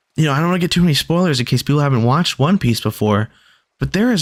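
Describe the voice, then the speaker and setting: A man sounds animated, with lively intonation. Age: 20s. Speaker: gaming streamer. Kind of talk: casual chat. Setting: live stream.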